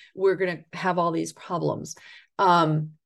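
Here is a woman with an ordinary speaking voice and an American accent. Her pitch is fairly low and her pace fairly slow. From US Northeast, northern Catskills, New York. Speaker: author and farmer. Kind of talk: interview conversation.

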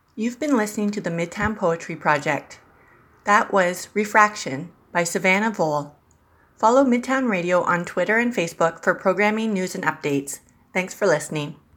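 A woman's unremarkable speaking voice, medium in pitch, at a moderate pace on a very clean recording with a silent background. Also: lively intonation. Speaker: radio host. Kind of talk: scripted radio intro and outro. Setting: studio.

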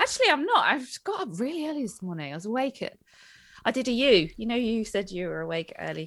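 Speaking very fast with a British accent, a woman uses a fairly high pitch, very wide pitch swings and some vocal fry. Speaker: dog trainer and podcast co-host. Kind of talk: casual chat. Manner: loud.

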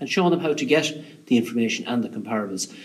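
Man with an Irish accent at a very fast pace, noticeable background noise. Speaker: industry association chief executive. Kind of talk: interview. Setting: on location, echoey room.

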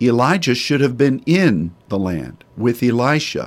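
A man's very slow speech, lively in intonation and marked by vocal fry. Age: 60s. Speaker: pastor. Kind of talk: sermon.

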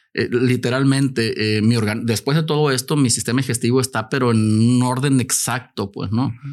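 A man talks in a normal speaking voice at medium pitch. His pace is fairly quick, with fairly even intonation and hardly any pauses. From Mexico. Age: 50s. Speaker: cancer survivor and health advocate. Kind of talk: casual chat. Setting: studio.

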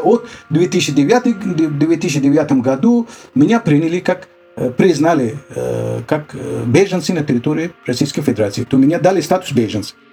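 A fairly slow pace with very wide pitch swings, over noticeable background noise. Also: man. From Afghanistan. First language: Dari (speaking Russian). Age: 60s. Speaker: refugee, former journalist. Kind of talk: interview testimony. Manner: halting, many hesitations.

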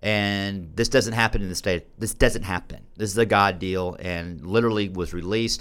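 With hardly any pauses, a man in an ordinary speaking voice talks at a moderate pace, fairly low in pitch and with fairly even intonation. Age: 40s. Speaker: recovery radio host. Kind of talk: casual chat.

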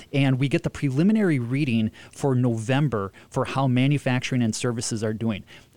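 Here a man uses an ordinary speaking voice at a medium pitch, with ordinary pitch variation and very even loudness. He talks at a fairly quick pace with hardly any pauses, on a very clean recording with a silent background. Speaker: economist. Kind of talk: radio discussion. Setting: studio.

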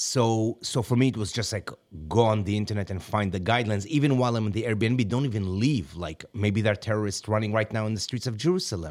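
A man with an Israeli accent at a very fast pace, hardly any pauses, and ordinary pitch variation. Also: fairly low pitch for a man. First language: Hebrew. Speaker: podcast guest, friend of host. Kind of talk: casual chat.

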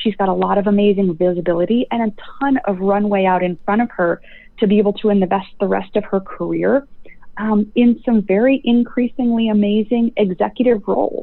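With an American accent, a woman speaks at a fairly quick pace and medium pitch, her loudness very even and her pitch variation ordinary. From US Midwest, rural Nebraska. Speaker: healthcare leadership educator. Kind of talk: interview.

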